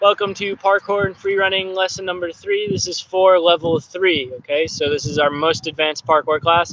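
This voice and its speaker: Clearly audible background noise runs behind a man whose high voice shows normal pitch movement. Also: moderate pace. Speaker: parkour coach. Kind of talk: live online class. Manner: casual, chatty.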